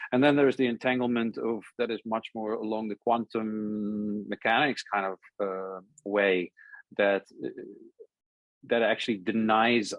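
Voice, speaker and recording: With a Dutch accent, a man talks at a moderate pace and a fairly low pitch, keeping his intonation fairly even. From Netherlands. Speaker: essay author. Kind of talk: conversation. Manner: halting.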